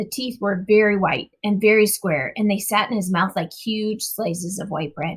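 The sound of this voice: Speaking at a fairly slow pace, a woman has a medium pitch, ordinary pitch variation and a slightly husky edge.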